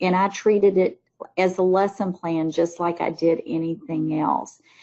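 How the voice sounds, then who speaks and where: At a fairly slow pace, a woman speaks in a Southern US accent. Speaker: teacher trainer, former teacher. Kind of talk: webinar presentation. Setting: online webinar.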